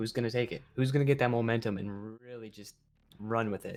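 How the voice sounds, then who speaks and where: Over music in the background, a man speaks at a medium pitch with monotone, flat intonation. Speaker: esports commentator. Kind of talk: live commentary. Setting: live stream. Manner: fast.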